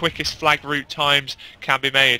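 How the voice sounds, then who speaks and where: Speaking with a British accent, a man uses a fairly high pitch. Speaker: esports commentator. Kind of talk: live commentary. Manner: loud; fast.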